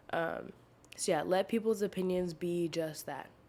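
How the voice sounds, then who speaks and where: A soft-spoken woman with a fairly low pitch. She talks at a moderate pace. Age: 20s. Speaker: podcast host. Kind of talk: casual chat. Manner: quiet, soft-spoken; casual, many fillers.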